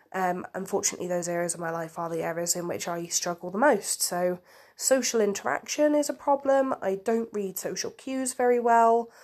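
A woman's medium-pitched voice with lively intonation at a fairly quick pace, on a very clean recording with a silent background. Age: 20s. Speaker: podcaster. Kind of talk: personal monologue. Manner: halting.

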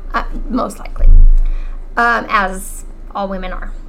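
Audible room echo and noticeable background noise accompany a woman talking at a moderate pace. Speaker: podcast host, cancer patient, former teacher. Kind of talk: casual chat, personal story.

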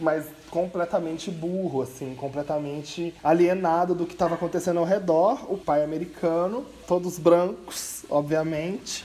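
The delivery comes at a fairly slow pace. Intonation stays fairly even. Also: man. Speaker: podcast co-host. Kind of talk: casual chat.

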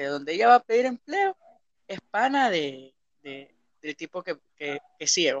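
Fairly slow male speech with very wide pitch swings and a dry, close sound with no echo. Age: 20s. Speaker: podcast host. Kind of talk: casual chat.

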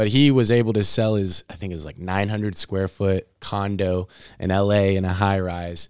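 A man with an unremarkable speaking voice and fairly even intonation, in a very clean recording with a silent background and a dry, close sound with no echo. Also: fairly low pitch for a man, moderate pace. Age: 20s. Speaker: podcast co-host. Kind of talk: casual interview.

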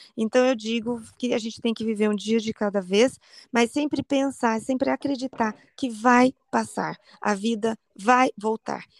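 Using an ordinary speaking voice, a woman speaks at a fairly slow pace and a fairly high pitch, with fairly even intonation and a dry, close sound with no echo. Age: 40s. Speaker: cancer survivor and online community founder. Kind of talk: interview testimony.

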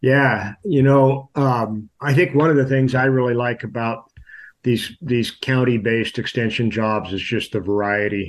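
Over a quiet background, a man with a Californian accent talks at a fairly slow pace with ordinary pitch variation. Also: medium pitch for a man. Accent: Californian American. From California, Sierra foothills. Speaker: livestock extension advisor. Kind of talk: casual interview.

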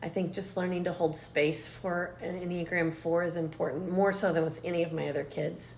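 Speaking in a monotone, flat intonation at a fairly quick pace with hardly any pauses, the voice carries audible room echo. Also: woman, fairly low pitch for a woman. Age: 50s. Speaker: mother of the host, baker and former teacher. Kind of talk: casual chat.

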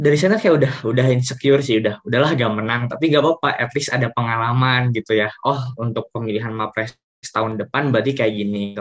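A man speaks at a very fast pace with hardly any pauses. His pitch is medium, with ordinary variation. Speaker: university student. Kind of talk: casual interview. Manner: hesitant, many fillers.

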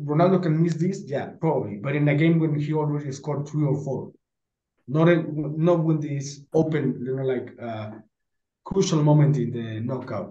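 A man with a Spanish accent speaks at a moderate pace and a fairly high pitch, his tone dark, mellow and somewhat breathy, with ordinary pitch variation. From Mexico. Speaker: football podcast panelist. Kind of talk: casual chat.

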